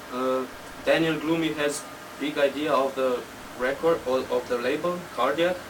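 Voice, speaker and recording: Noticeable background noise lies under a man's fairly even intonation. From Slovenia. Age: 20s. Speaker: techno DJ and producer. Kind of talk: interview. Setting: studio.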